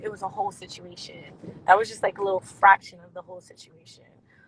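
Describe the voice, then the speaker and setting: In an American accent, a woman speaks very fast with monotone, flat intonation, over noticeable background noise. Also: big swings in loudness. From New Jersey and Pennsylvania. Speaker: reality TV cast member and dancer. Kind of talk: interview.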